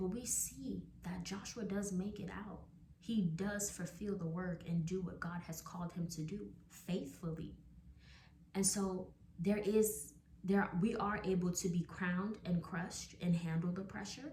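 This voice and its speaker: There is noticeable background noise along with audible room echo. A woman speaks at medium pitch and a fairly slow pace, with fairly even intonation. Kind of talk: devotional talk to camera.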